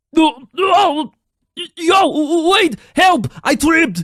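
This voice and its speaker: In a put-on character voice, the pitch is extremely high and the pace very slow. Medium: video game.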